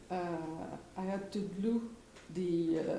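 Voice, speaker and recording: A woman in a French accent at medium pitch, with ordinary pitch variation, audible room echo and noticeable background noise. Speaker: weaver and textile artisan. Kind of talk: presentation of craft process at live event. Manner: halting, many fillers and restarts.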